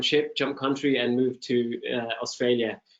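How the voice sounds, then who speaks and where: Speaking in a British accent, a man keeps a moderate pace and medium pitch. His intonation is monotone and flat. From UK. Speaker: e-commerce product lead. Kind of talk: webinar panel interview.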